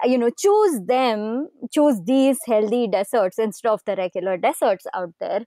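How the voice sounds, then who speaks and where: A woman speaks with a Kannada accent in a fairly high pitch with lively intonation. Her tone is dark and mellow, and the sound is dry and close with no echo. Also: moderate pace. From southern India, Karnataka (city-raised). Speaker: podcast host. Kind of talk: interview conversation.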